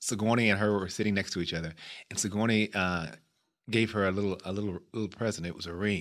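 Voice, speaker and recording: Against a quiet background, a man with an American accent talks in a fairly low pitch with a bright, sharp tone and ordinary pitch variation. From US Midwest, Chicago. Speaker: actor. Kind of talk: casual interview. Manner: repetitive stuttering starts.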